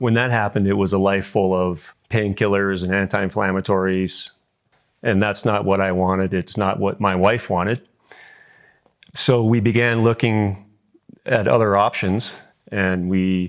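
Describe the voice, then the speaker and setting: A man's fairly low voice with a Canadian accent, monotone, flat intonation, a moderate pace, and long, frequent pauses over a quiet background. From British Columbia, Canada. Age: 60s. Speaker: surgery patient. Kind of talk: patient testimonial interview. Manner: hesitant, casual.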